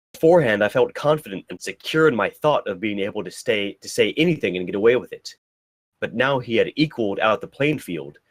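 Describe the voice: Someone does plain reading aloud. Little can be heard behind the voice, as the background is quiet.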